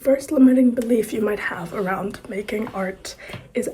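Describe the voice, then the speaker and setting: Amid noticeable background noise, a woman talks with lively intonation. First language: not English; English is her third language. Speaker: poet and writer, video course host. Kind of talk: casual tutorial talk to camera.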